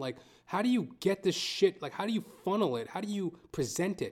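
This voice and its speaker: A man talks at a very fast pace. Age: 30s. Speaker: actor and stand-up comic. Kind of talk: casual monologue. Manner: halting.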